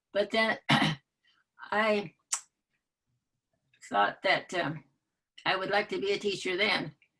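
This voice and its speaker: At a very slow pace, a woman with a Michigan accent speaks at medium pitch with fairly even intonation. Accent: US Midwest (Michigan). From Michigan (rural area near Muskegon). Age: 90s. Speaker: retired teacher. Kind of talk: interview conversation. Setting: video call. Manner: halting.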